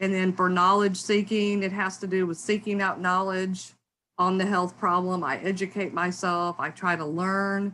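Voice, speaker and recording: The tone is bright and sharp, with monotone, flat intonation. The recording is very clean, with a silent background. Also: woman, medium pitch for a woman. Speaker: academic researcher. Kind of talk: lecture. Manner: fast; hesitant with fillers.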